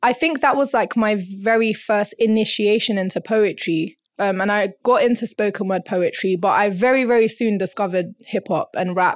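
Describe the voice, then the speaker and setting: A woman's fairly high voice at a moderate pace, with ordinary pitch variation and very even loudness, on a very clean recording with a silent background. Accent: London. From North London. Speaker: rapper and arts education coordinator. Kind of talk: casual interview.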